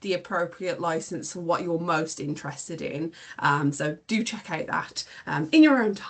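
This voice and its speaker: A woman talks in a normal speaking voice at a fairly slow pace. Her intonation is lively. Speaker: librarian. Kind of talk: online training session.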